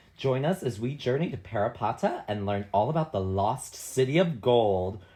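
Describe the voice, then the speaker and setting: Against a quiet background, a man speaks at a moderate pace in a medium-pitched, somewhat breathy voice with a dark, mellow tone and lively intonation. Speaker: podcast co-host. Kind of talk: casual chat. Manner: animated.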